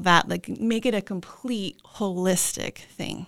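In a very clean recording with a silent background, a woman talks at medium pitch with fairly even intonation. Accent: American. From Southern California, Ventura County. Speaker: nurse practitioner, medical spa founder. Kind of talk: casual interview.

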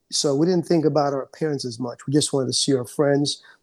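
The man's fairly high voice holds a monotone, flat intonation. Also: very clean recording, silent background. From Jamaica, moved to the Bronx at 16. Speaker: insurance broker. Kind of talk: interview. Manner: calm; halting, with many fillers.

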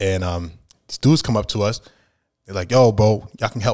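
With a New York accent, a man talks at a very fast pace in a fairly low pitch with ordinary pitch variation. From Brooklyn, New York (Flatbush). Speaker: rapper. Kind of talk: casual chat.

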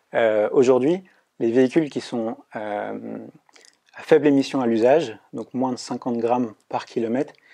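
A man's dark, mellow voice at medium pitch, with ordinary pitch variation and a moderate pace. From Brittany, France. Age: 20s. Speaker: engineering student. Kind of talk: interview. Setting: studio. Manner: halting with repetitions.

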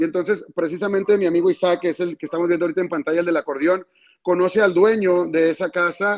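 A man's high-pitched voice at a fairly quick pace, with ordinary pitch variation and a dry, close sound with no echo. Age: 30s. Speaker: regional Mexican music singer. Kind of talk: interview.

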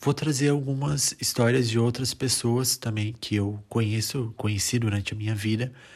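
A man's medium-pitched, somewhat breathy voice at a moderate pace, with hardly any pauses and ordinary pitch variation. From Brazil. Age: 20s. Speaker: podcast host. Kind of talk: solo podcast introduction. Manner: halting, with fillers.

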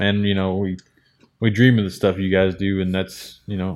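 A man speaks at a fairly quick pace in a fairly low pitch. It is a normal speaking voice. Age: 20s. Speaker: podcast co-host. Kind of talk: casual interview. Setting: race car shop.

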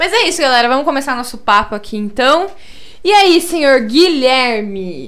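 Very wide pitch swings at a moderate pace ring out with audible room echo. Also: woman, high pitch for a woman. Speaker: podcast host. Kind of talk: casual chat.

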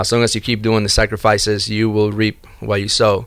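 A man with a Spanish accent speaks at a fairly low pitch. His intonation is monotone and flat. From Argentina. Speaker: door-to-door salesperson. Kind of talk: casual interview chat. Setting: studio.

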